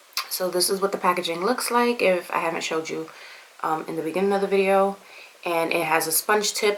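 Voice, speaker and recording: Noticeable background noise sits behind a woman talking at a very fast pace. Her pitch is fairly low, and her intonation fairly even. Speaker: beauty vlogger. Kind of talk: product review tutorial. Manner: casual, halting with fillers.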